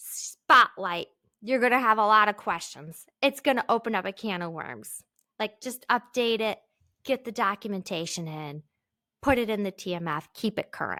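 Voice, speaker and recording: In a very clean recording with a silent background and a dry, close sound with no echo, a woman with a fairly high pitch speaks at a moderate pace in a bright, sharp, animated tone, her lively intonation paired with big swings in loudness. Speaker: podcast host. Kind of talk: solo podcast tutorial.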